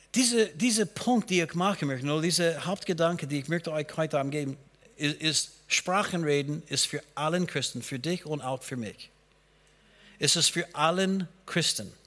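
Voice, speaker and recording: Speaking at a moderate pace, a man uses a fairly high pitch and a bright, sharp tone with ordinary pitch variation. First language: not German (speaking German). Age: 60s. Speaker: pastor. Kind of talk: sermon. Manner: halting.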